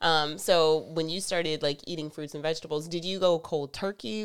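Speaking at a moderate pace with an American accent, a woman has a fairly low pitch and a plain, everyday voice. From US South. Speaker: podcast co-host. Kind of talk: casual chat.

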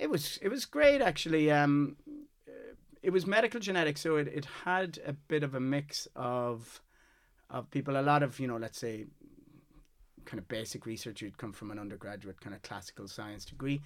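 This man, speaking in a west of Ireland accent, has a fairly high pitch and a moderate pace. His voice shows very wide pitch swings and big swings in loudness. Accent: west of Ireland Irish. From Ireland, Galway. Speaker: scientist, core facility manager. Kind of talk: casual interview. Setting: studio, in person.

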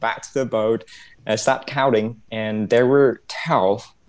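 Someone with a Vietnamese accent speaks at a very slow pace. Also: man. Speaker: medical graduate, pathology applicant. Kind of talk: quiz show, casual chat.

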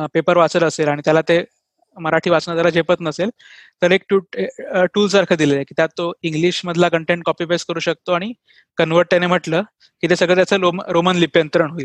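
A man speaks at a high pitch in a monotone, flat intonation. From Maharashtra, Dombivli. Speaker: software engineer and online language teacher. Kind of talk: interview.

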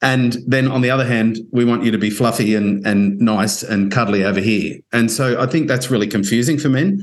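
At a fairly quick pace, the speaker uses an Australian accent and keeps the loudness very even. Audible room echo is present. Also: man, medium pitch for a man, ordinary pitch variation. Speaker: podcast host. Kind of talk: interview conversation.

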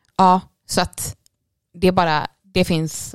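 A woman speaks at a fairly slow pace. The recording is very clean with a silent background and a dry, close sound with no echo. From Swedish west coast. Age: 20s. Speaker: nurse. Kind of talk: interview. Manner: animated.

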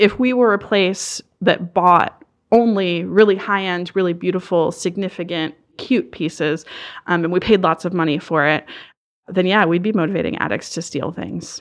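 In an American accent, a woman with a plain, everyday voice talks at medium pitch and a moderate pace, with ordinary pitch variation against a quiet background. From Southern Maryland. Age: 30s. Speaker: nonprofit outreach director. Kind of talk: interview. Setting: studio.

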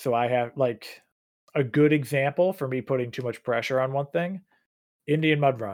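On a very clean recording with a silent background, a man speaks at a medium pitch and a moderate pace, with ordinary pitch variation. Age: 30s. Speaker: podcast host and obstacle course racer. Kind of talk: casual chat. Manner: hesitant, many fillers.

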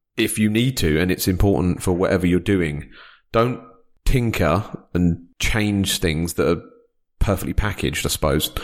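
A man with a British accent speaks at a moderate pace in a very deep, low voice, captured in a very clean recording with a silent background. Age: 40s. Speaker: financial adviser and podcast host. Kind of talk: interview conversation. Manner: halting, many fillers.

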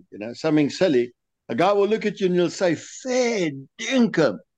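With very wide pitch swings, a man speaks against a quiet background. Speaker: lure designer guest. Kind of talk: interview answers, casual chat.

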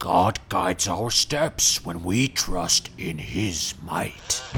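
Over clear background noise, a man does a put-on character voice at a very deep, low pitch and a very slow pace. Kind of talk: archaic, formal, knightly speech. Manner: solemn, earnest, self-important.

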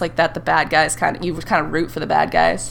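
A woman talks very fast while music sounds in the background. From northern Vermont. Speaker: podcast host. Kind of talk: casual chat.

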